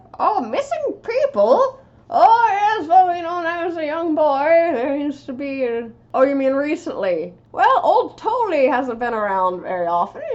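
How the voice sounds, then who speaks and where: In a put-on character voice, a woman speaks at a moderate pace with extremely high pitch and very wide pitch swings. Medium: actual play. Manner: folksy, rambling.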